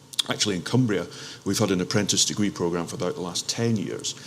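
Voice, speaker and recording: Amid noticeable background noise, a man with an Aberdeen accent talks very fast in a very deep, low pitch with ordinary pitch variation. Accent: Aberdeen Scottish. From Scotland, Aberdeen. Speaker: local enterprise partnership representative. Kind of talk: panel discussion. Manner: hesitant, many fillers and restarts.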